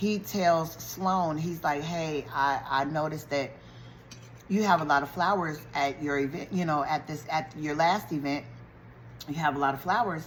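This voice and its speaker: Moderate pace, with audible room echo. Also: woman, very deep, low pitch for a woman, ordinary pitch variation. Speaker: YouTuber recapping a TV show. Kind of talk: casual TV show recap. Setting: eating while talking to camera.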